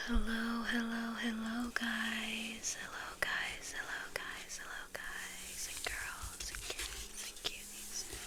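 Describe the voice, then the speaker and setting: A woman whispering at a very slow pace with hardly any pauses and big swings in loudness, amid noticeable background noise. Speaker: ASMR content creator. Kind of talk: casual talk to camera while sketching, ASMR. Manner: soft-spoken.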